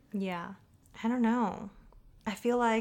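In an American accent, this woman speaks with fairly even intonation. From Southern California. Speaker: photographer and content creator. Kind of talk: casual chat.

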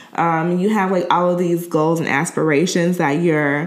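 There is audible room echo as a woman talks with an American accent. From Chicago. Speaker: podcast host. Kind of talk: casual interview.

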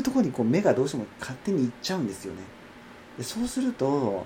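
A man talks at a fairly quick pace. There is noticeable background noise behind him. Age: 30s. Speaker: podcaster and acupuncture clinic worker. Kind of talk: casual solo monologue. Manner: higher pitch than usual today; hesitant, many fillers.

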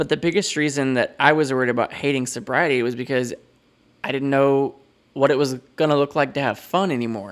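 The recording is very clean, with a silent background. A man talks fairly quickly at a fairly high pitch, his intonation fairly even. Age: 30s. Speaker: podcast host and educator. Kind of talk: solo podcast monologue.

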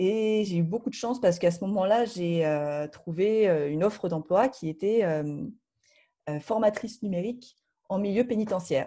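A woman's dark, mellow voice at medium pitch, moderate pace and ordinary pitch variation, over a quiet background. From Paris region, France. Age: 30s. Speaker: board game publisher. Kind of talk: interview. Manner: halting, many fillers.

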